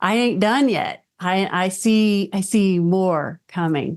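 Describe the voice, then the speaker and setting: Her voice sits at a medium pitch, and this woman sounds animated while keeping ordinary pitch variation. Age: 60s. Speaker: business executive. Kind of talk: interview.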